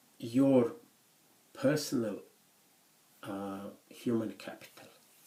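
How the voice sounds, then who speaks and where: This man speaks with a non-native accent. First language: not English; English is third language. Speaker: university lecturer. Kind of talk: lecture. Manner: halting, many fillers.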